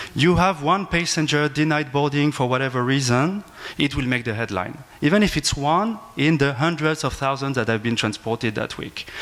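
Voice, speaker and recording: A man with a French accent speaks at a fairly high pitch and a moderate pace, with ordinary pitch variation. He leaves hardly any pauses, and there is noticeable background noise. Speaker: aviation law professor. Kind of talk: panel discussion. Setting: conference panel with audience. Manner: halting.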